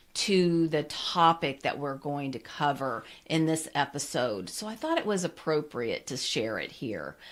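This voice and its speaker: With lively intonation and a moderate pace, a woman uses an ordinary speaking voice at a fairly low pitch, recorded very cleanly over a silent background. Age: 60s. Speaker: naturopathic health practitioner and podcast host. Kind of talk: solo podcast monologue. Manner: conversational.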